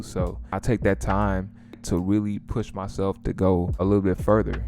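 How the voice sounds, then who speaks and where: A man with a St. Louis accent speaks at a fairly low pitch. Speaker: music producer and content creator. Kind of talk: casual advice talk to camera. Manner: casual, conversational.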